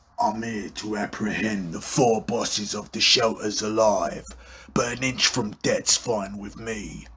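A man puts on a raspy, menacing cartoonish character voice. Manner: cocky, menacing.

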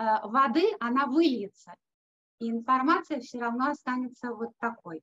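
Lively intonation at a fairly slow pace against a quiet background. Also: woman. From Russia, Leningrad. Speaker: music teacher and yoga therapist; music teacher. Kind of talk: online conference talk. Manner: hesitant with filler sounds. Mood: warm, smiling. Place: studio. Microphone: video call.

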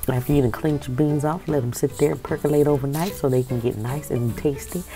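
Over clear background music, a woman with a very deep, low pitch speaks at a fairly quick pace. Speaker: food vlogger. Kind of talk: casual vlog chat. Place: home room. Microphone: earbuds.

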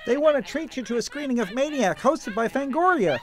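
In a put-on character voice, a man chatters at a very fast pace with an extremely high pitch and an upbeat tone over clear background noise. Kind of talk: spoof TV commercial. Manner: upbeat, cheery.

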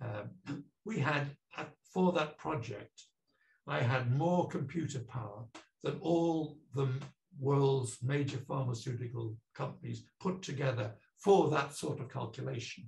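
A man with a North Welsh accent talks at a fairly slow pace in a fairly high voice, with ordinary pitch variation, some vocal fry and audible room echo. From North Wales. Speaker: professor. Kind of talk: lecture. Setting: video call. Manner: hesitant, frequent uh fillers. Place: home room. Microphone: webcam.

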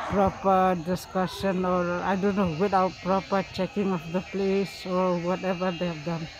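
Monotone, flat intonation with hardly any pauses, in a dry sound with no echo over noticeable background noise. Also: man, high pitch for a man, moderate pace. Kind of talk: interview answer. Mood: sad, concerned. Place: street.

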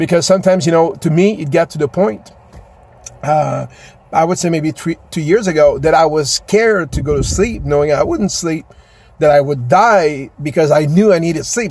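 A man talks at a moderate pace with ordinary pitch variation. His voice sounds dry, with no echo. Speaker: vlogger. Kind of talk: casual vlog chat. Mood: earnest, personal, venting. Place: car. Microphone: phone near.

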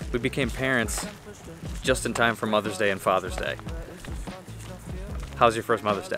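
Long, frequent pauses break up the speech, which has a dry sound with no echo and clear music in the background. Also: man, moderate pace. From United States. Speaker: vlogger. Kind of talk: casual vlog talk to camera. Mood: cheerful, relaxed. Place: garden. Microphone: phone near.

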